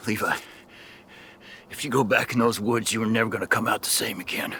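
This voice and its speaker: Using a raspy, put-on character voice at a medium pitch, a man rattles along at a very fast pace in a monotone, flat intonation. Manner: urgent, pleading.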